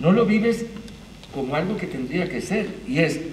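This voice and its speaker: In a space with audible room echo and noticeable background noise, a man speaks with very wide pitch swings. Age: 60s. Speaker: theatre arts manager. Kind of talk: panel talk.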